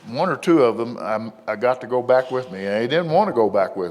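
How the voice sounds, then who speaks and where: Noticeable background noise sits behind this man. His voice is medium in pitch with lively intonation. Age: 70s. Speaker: retired police officer. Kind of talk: panel talk. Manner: halting.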